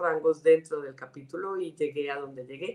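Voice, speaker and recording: Fairly low in pitch, a woman with a Colombian accent speaks at a moderate pace. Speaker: director of a women's organization. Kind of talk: interview.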